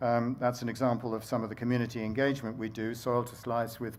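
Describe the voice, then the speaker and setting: A man's voice at medium pitch, monotone and flat in intonation, with audible room echo. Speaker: baker and bread campaigner. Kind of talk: conference talk. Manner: fast; halting.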